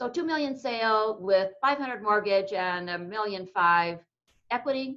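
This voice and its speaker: Fairly high-pitched woman with a bright, sharp tone and lively intonation. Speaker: tax exchange specialist presenter. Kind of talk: webinar presentation. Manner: fast.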